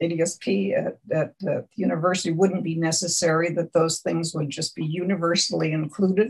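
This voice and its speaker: Vocal fry runs through this woman's fairly low voice. She talks at a fairly quick pace with ordinary pitch variation. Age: 80s+. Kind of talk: oral history interview. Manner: halting.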